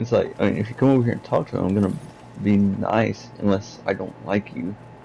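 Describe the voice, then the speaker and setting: A man with a fairly low pitch, a dark, mellow tone and vocal fry. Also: ordinary pitch variation. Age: 20s. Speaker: gaming streamer. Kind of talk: casual chat. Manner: halting.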